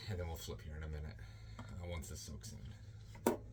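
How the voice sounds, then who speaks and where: With vocal fry and a very deep, low pitch, a man speaks at a moderate pace, his pitch swinging very widely amid audible room echo. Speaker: yarn dyer. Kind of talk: tutorial. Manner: loud; raises volume when teaching.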